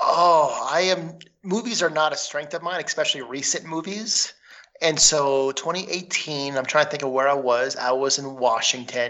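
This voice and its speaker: A plain, everyday voice with an American accent moves at a moderate pace with ordinary pitch variation. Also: man, fairly high pitch for a man. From Minnesota. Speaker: trivia contestant. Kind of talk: casual game-show chat.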